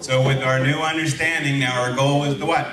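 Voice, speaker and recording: Noticeable background noise and audible room echo behind a man with a medium pitch. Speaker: veterinary lecturer. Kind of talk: lecture.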